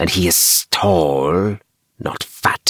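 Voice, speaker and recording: A man does a put-on character voice in a very deep, low pitch, with hissing in the sound. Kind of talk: bedtime story. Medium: read story. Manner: formal, clipped.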